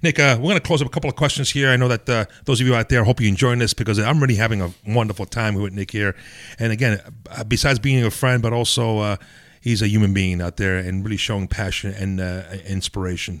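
Talking at a very fast pace, a man uses a fairly low pitch and ordinary pitch variation. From Italy, raised in the Bronx, New York. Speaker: podcast host. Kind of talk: interview.

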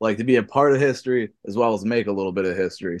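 Over a quiet background, a man at a medium pitch talks at a very fast pace with fairly even intonation. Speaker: pro wrestler. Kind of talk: wrestling promo. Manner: brash, hyped-up, swaggering.

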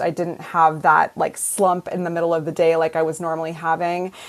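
Fairly low in pitch, a woman talks at a fairly quick pace in an ordinary speaking voice. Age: 50s. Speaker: meditation trainer and wellness coach. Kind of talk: interview.

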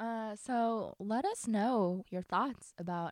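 The recording is very clean and the background is silent. In it, a woman talks with ordinary pitch variation. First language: not English. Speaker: book podcast co-host. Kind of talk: casual chat.

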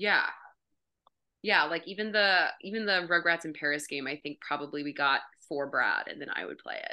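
Using an ordinary speaking voice, a woman with an American accent speaks at a fairly low pitch and a moderate pace, with ordinary pitch variation. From US South, Memphis. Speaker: improviser. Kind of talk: casual chat.

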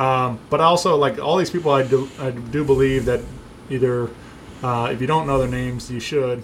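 A man talks at a moderate pace with medium pitch and fairly even intonation. Audible room echo surrounds his voice. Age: 30s. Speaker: music podcast host. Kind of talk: casual chat.

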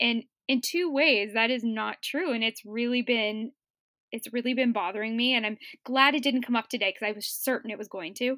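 Fairly quick and bright, sharp in tone, a fairly high-pitched woman speaks with ordinary pitch variation in a dry, close sound with no echo, on a very clean recording with a silent background. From Cape Breton, Nova Scotia, Canada. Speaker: book podcast guest. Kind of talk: casual chat.

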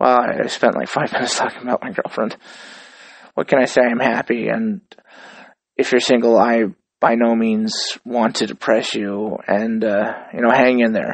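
At a moderate pace, a man talks in an unremarkable speaking voice, his medium pitch carried by fairly even intonation. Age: 30s. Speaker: podcast host. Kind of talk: casual monologue.

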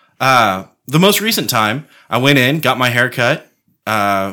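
A man speaks with lively intonation and a bright, sharp tone on a very clean recording with a silent background. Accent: American. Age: 30s. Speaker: podcast co-host. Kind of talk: casual chat.

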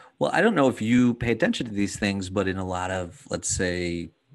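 Against a quiet background, a man with an ordinary speaking voice, fairly low in pitch with ordinary variation, talks at a fairly quick pace. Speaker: podcast host and dad coach. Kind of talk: casual interview conversation.

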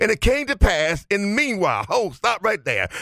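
Against noticeable background noise, a man with a high voice talks at a moderate pace in an animated tone, his pitch swinging very widely. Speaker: preacher. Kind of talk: sermon. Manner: animated, call-and-response; rhythmic, exhorting congregation.

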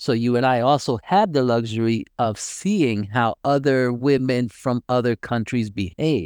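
In an unremarkable speaking voice, a man with an American accent talks at a fairly slow pace and medium pitch with ordinary pitch variation, the sound dry and close with no echo. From United States. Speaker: podcast co-host, military veteran. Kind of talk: casual chat.

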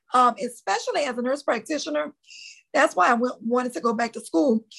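Here a woman speaks with a Louisiana accent. Her pitch is high. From US South, New Orleans, Louisiana. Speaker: nurse practitioner and author. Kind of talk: interview.

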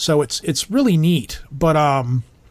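With a Midwestern accent, a man talks in a fairly high, somewhat breathy voice with lively intonation. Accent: general American, Midwestern. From Michigan. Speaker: podcast host. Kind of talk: casual chat.

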